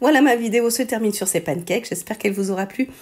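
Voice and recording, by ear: Putting on a hoarse character voice, a woman rattles along at a very fast pace with a fairly high pitch.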